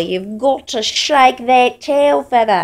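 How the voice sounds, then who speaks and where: The background stays quiet. A woman's intonation is lively. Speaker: pet owner. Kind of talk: casual talk to pet on video. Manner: affectionate, emotional. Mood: tender, encouraging. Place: home room. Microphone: phone near.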